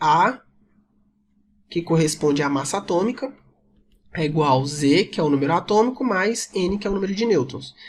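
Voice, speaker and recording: His intonation lively, a man speaks at a moderate pace. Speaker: chemistry teacher. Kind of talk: lecture. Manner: casual.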